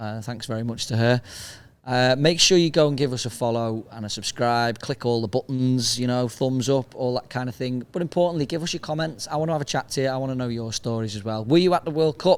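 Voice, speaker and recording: A man in a Liverpool accent talks at a very fast pace, his medium pitch showing ordinary variation. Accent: Liverpool (Scouse). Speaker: podcast host. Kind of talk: casual outro to camera.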